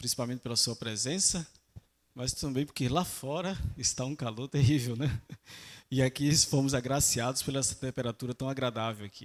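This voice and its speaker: In a very clean recording with a silent background, a man with a Northeastern Brazilian accent speaks at a medium pitch and a moderate pace, with ordinary pitch variation. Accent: Northeastern Brazilian (Alagoas). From Brazil, Alagoas (Maceió). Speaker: lay preacher. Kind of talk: sermon. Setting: church.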